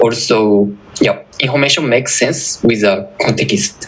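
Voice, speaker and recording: A man speaks at a very slow pace as noticeable background noise carries on. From Japan. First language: Japanese. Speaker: security researcher. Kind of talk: conference talk.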